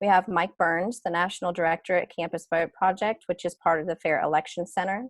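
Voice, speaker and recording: In an American accent, a woman speaks at a fairly low pitch with fairly even intonation against a quiet background. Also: dry, close sound with no echo. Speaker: panel moderator. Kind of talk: webinar panel introduction. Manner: hesitant, many fillers.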